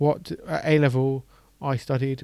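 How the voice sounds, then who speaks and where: A man speaks very slowly in a fairly high voice. His intonation is monotone and flat. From England. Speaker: podcast host. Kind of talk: casual interview chat; scripted intro.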